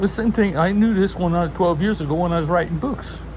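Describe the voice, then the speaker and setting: Someone speaks at a fairly quick pace with an American accent. There is noticeable background noise and audible room echo. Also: man. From US South, Low Country (coastal South Carolina/Georgia). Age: 70s. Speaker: pastor. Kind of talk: religious monologue. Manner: halting.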